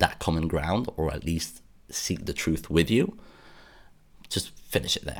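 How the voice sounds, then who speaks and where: A man with a British accent speaks in a very deep, low pitch marked by vocal fry. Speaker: podcast host. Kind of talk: solo monologue podcast episode. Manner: earnest, somewhat halting with repetitions.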